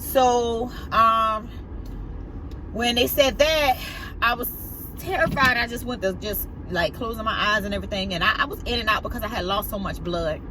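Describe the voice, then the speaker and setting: Speaking with a strong Southern US accent, a woman talks at a moderate pace and a fairly high pitch with ordinary pitch variation and long, frequent pauses, with audible room echo and noticeable background noise. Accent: heavy Southern US. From US South. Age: 40s. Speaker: vlogger. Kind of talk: personal testimony. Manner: halting.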